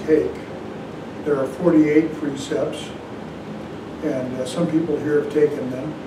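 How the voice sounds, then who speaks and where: Over noticeable background noise, a man speaks very slowly in a flat, monotone way. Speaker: zen teacher. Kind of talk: dharma talk. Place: hall.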